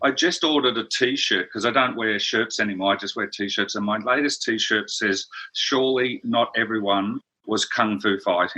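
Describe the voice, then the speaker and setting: Speaking at a moderate speed, a man talks with an Australian accent. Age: 60s. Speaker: brand strategist. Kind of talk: interview.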